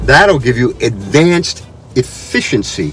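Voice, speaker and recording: Noticeable background noise sits behind a man who speaks at a moderate pace with very wide pitch swings. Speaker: car reviewer. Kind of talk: car review talk to camera.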